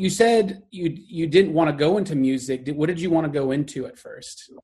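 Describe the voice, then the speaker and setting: A man with a Texan accent speaks at a fairly high pitch. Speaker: podcast host. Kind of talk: casual interview. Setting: video call.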